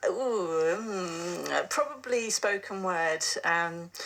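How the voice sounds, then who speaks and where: A woman speaks with a fairly low pitch. Noticeable background noise runs under her voice. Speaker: poet. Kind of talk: interview answer.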